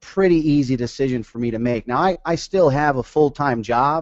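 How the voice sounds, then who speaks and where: A man's ordinary speaking voice, medium in pitch, with ordinary pitch variation at a moderate pace. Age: 30s. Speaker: sales director and network marketer. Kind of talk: webinar talk. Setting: webinar.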